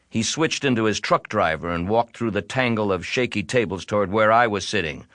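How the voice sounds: What we hear is a natural reading voice.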